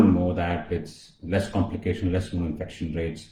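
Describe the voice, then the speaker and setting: Very deep, low male voice, somewhat breathy and dark, mellow in tone, with a Tamil accent and audible room echo. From India, Chennai. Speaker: colorectal surgeon. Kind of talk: live-stream health talk. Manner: hesitant, many fillers.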